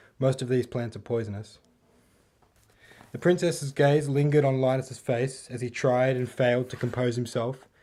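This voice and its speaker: With an Australian accent, a man speaks at a moderate pace in a dark, mellow tone, his medium pitch following fairly even intonation. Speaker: author. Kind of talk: audiobook reading of own novel. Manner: relaxed, calm.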